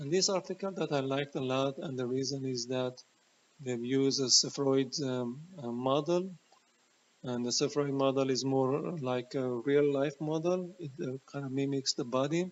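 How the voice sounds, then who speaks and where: A man speaks with a non-native accent at a moderate pace. His pitch is fairly high, with ordinary pitch variation. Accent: noticeable foreign. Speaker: health educator, former chemotherapy researcher. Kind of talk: educational talk presenting research. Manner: hesitant, many fillers.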